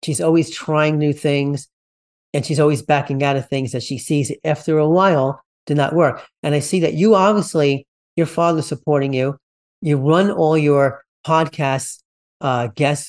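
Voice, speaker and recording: A plain, everyday voice from a man, fairly high in pitch, at a moderate pace against a quiet background. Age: 50s. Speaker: podcast host. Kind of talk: interview conversation.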